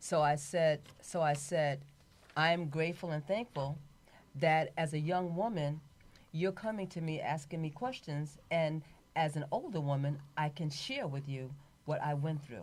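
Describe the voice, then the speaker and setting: Its pitch moves up and down in an ordinary way. The delivery is fairly slow. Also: woman, very deep, low pitch for a woman. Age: 70s. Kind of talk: casual chat.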